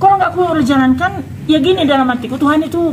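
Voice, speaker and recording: The speaker talks at a very fast pace in an animated tone, with ordinary pitch variation. Noticeable background noise runs behind. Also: woman. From North Sumatra, Indonesia. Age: 60s. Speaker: fire victim, market seller. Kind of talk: interview testimony. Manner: animated storytelling with quoted dialogue.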